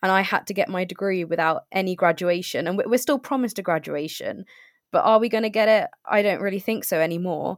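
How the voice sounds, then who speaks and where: A woman's voice sits at a medium pitch. She talks very fast. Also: ordinary pitch variation, very clean recording, silent background. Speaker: recent graduate. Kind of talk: interview.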